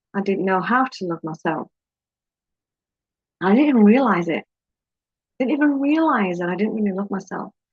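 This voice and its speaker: A woman with a British accent speaks at a moderate pace and medium pitch, somewhat breathy. Her intonation is lively, with long, frequent pauses. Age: 50s. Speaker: life coach. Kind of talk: personal vlog talk. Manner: halting.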